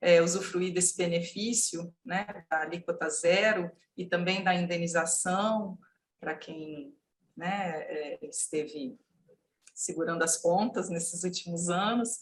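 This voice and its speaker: The woman's voice is somewhat breathy and fairly low in pitch. Her intonation stays fairly even. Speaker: legal consultant. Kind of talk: panel discussion. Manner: halting, many fillers.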